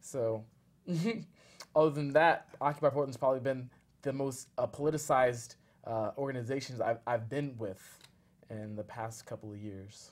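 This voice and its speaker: A man with an American accent and a medium pitch speaks at a moderate pace with fairly even intonation, big swings in loudness, and long, frequent pauses. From US, Northern Virginia. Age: 20s. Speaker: community activist. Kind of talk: interview.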